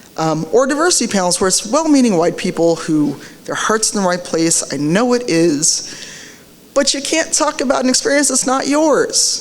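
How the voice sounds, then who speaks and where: Over noticeable background noise and audible room echo, a woman speaks at a fairly high pitch with very wide pitch swings. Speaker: diversity advocate, conference speaker. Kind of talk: conference talk. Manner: fast.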